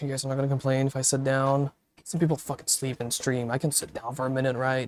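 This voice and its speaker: A man speaks at a very fast pace in a medium pitch. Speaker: VR streamer. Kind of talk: casual live stream chat. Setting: live stream in VR. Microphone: cheap wireless headset mic far from mouth.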